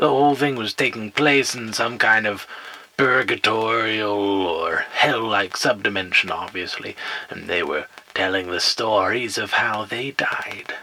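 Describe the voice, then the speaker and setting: Using a put-on character voice at medium pitch, a man speaks at a moderate pace. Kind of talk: spooky campfire storytelling. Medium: audio drama. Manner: wry, self-aware, rambling.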